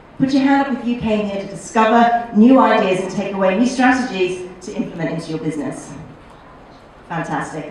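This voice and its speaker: Through noticeable background noise and audible room echo, the speech moves at a fairly quick pace with lively intonation. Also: woman. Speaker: marketing workshop trainer. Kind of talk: seminar lecture. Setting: hotel conference room with live audience. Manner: fast; animated.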